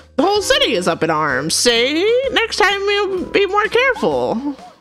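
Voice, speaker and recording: An extremely high-pitched, put-on character voice moves at a moderate pace. Clear music plays in the background. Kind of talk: hardboiled noir. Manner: silly, cartoonish.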